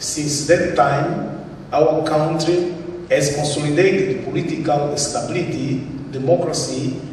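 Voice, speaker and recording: A man at a fairly high pitch, fairly slow pace and fairly even intonation, with audible room echo and noticeable background noise. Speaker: government investment presenter. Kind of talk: conference presentation. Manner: halting.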